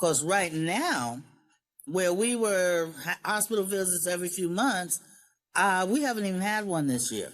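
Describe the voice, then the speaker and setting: A woman with an American accent speaks at a fairly slow pace in a plain, everyday voice, her medium pitch carrying lively intonation. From New York, Long Island. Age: 60s. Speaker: former program beneficiary, grandmother. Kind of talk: interview.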